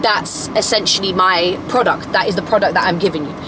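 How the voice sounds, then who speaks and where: A woman speaks fairly quickly, and noticeable background noise is present. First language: not English. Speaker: lifestyle content creator. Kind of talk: casual vlog monologue. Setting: in a car. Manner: rambling, self-correcting.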